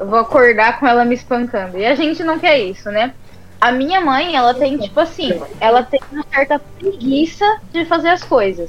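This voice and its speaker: Noticeable background noise behind a high-pitched woman, lively in intonation and moderate in pace. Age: 20s. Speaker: podcast co-host. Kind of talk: casual chat. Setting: live stream.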